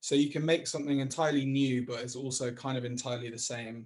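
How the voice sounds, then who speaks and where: A man with a northwest English accent, fairly high in pitch, somewhat breathy, at a fairly quick pace. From Chester, England. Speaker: creative technologist. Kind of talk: interview answer. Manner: casual, hesitant.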